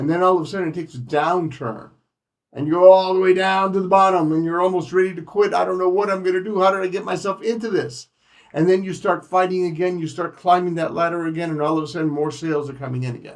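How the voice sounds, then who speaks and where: A man with a high pitch rattles along at a very fast pace with ordinary pitch variation. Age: 60s. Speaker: insurance agent trainer. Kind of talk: training session. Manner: animated.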